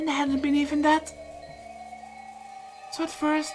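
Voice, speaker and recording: Music plays behind a woman as she talks. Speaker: visual novel let's play reader. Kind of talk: visual novel read-aloud narration.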